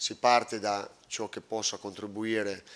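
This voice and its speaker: This man's pitch sits fairly low. His intonation stays monotone and flat. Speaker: football coach. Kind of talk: press conference answer. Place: hall.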